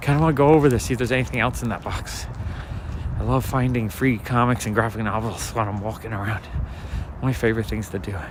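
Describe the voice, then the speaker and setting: Noticeable background noise and audible room echo surround a man talking at a very fast pace. His pitch is medium, with ordinary pitch variation. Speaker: street walk livestreamer and comic collector. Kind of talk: livestream walk chat with viewers. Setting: outdoors, night street walk. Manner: soft-spoken.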